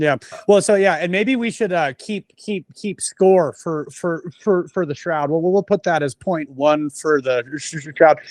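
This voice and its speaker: Fairly slow speech with hardly any pauses and ordinary pitch variation over a quiet background. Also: man, high pitch for a man. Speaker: podcast co-host. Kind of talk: casual chat. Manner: halting.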